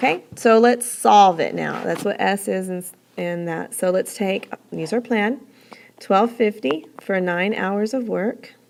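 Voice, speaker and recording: In a normal speaking voice, the speaker goes at a fairly slow pace with ordinary pitch variation. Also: woman, medium pitch for a woman. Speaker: teacher. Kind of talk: tutorial.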